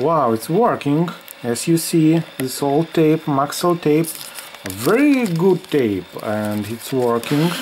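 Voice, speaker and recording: Very slow speech in a non-native accent, with noticeable background noise. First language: not English. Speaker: vintage camera YouTuber. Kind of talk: product demo video. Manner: halting, repetitive; animated, excited exclamations.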